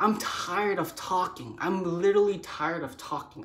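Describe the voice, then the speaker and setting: The voice carries an American accent. Audible room echo is present. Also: woman. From US, child of Cambodian refugees. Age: 20s. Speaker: vlogger. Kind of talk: personal monologue. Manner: fast, repetitive.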